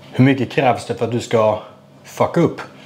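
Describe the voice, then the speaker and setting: The man's speech proceeds at a moderate pace. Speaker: vlogger. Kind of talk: casual vlog chat. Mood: frustrated, venting about bad luck. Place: kitchen. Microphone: lapel.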